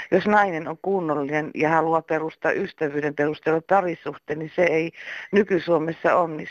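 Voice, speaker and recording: Over a quiet background, a woman with an ordinary speaking voice and fairly low pitch is heard in a dry, close sound with no echo. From eastern Finland. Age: 60s. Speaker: caller. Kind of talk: voicemail message.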